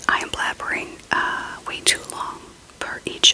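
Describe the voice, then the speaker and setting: A woman whispers at a fairly slow pace, with noticeable background noise. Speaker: ASMR creator. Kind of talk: ASMR show and tell, casual talk to camera. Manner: whispered, soft-spoken.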